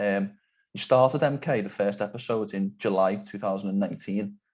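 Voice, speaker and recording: The speaker has a Liverpool accent and ordinary pitch variation. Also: man. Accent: Scouse. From England, Liverpool. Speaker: podcast interviewer. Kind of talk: interview.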